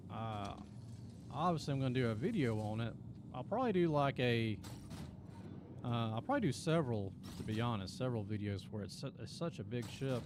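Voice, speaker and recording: With a Southern Appalachian accent and a relaxed tone, a man speaks at a fairly quick pace and medium pitch with lively intonation, long, frequent pauses, and audible room echo. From Appalachia, US Southeast. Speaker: gaming streamer and video creator. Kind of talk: casual live stream chat. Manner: relaxed, halting with fillers.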